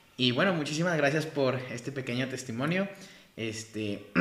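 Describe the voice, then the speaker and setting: Amid audible room echo, a man with medium pitch and lively intonation speaks at a fairly slow pace. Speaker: podcast host, church ministry. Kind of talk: interview.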